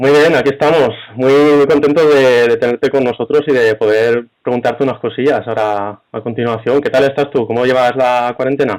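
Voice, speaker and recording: A man with a plain, everyday voice, medium in pitch, at a moderate pace with fairly even intonation and hardly any pauses. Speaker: interviewer. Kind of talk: interview host introduction.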